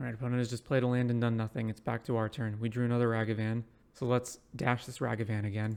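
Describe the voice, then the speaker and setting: A quiet man talks at a very fast pace in a monotone, flat intonation. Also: medium pitch for a man. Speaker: Magic: The Gathering streamer. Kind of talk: live gameplay commentary. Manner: quiet, ASMR-like speaking.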